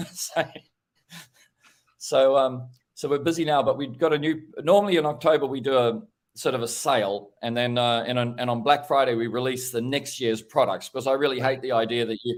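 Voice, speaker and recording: A man speaks in a normal speaking voice at medium pitch. His pace is fairly quick. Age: 60s. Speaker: window cleaning equipment business owner. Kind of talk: casual chat.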